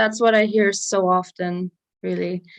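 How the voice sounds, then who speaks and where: Fairly even intonation in a German accent. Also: woman. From southern Germany. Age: 20s. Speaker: guest YouTuber musician. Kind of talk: casual livestream chat. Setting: long-distance video call.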